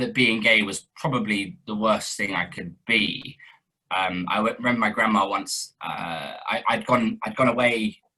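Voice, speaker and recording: His tone is bright and sharp. The man's pitch varies in an ordinary way. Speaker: actor and director. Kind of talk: interview. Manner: hesitant, many fillers.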